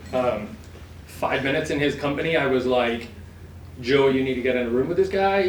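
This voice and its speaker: A man talks at a fairly quick pace with medium pitch and ordinary pitch variation. The room echo is audible, and the background noise is noticeable. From England. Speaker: insurance broker, event sponsor. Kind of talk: sponsor speech at event.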